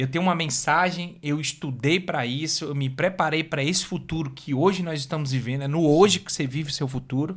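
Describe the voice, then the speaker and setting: This man's voice is fairly high-pitched and somewhat breathy, with fairly even intonation and hardly any pauses. The recording is very clean, with a silent background. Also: fairly quick pace. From Brazil, Fortaleza, Ceará. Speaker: motivational speaker. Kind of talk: podcast interview.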